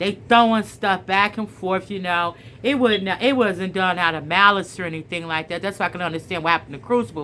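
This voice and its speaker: Loud and animated, a woman talks at a fairly quick pace with a medium pitch and a bright, sharp tone. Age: middle-aged. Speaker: storyteller and spiritual vlogger. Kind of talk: casual chat with story reading.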